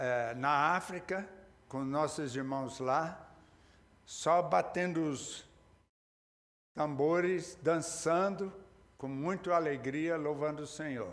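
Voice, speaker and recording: Speaking at a very slow pace with long, frequent pauses, a man uses a fairly high pitch and ordinary pitch variation, with audible room echo around him. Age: 80s+. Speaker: pastor. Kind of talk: sermon. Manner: halting, with repeated words.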